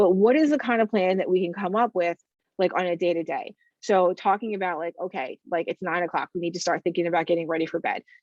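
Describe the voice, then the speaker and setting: Very fast speech from a woman at medium pitch, ordinary pitch variation, recorded dry and close with no echo. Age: 40s. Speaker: counselor. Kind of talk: webinar presentation. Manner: filler-heavy, conversational.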